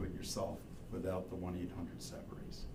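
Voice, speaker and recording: A man speaks at a moderate pace. Room echo is audible along with noticeable background noise. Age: 70s. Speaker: wastewater engineer or consultant. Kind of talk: public meeting presentation.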